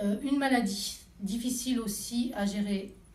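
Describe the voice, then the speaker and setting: With audible room echo and noticeable background noise, a woman talks with ordinary pitch variation. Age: 40s. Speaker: Reiki practitioner and massage therapist. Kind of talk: interview. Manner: hesitant, many fillers.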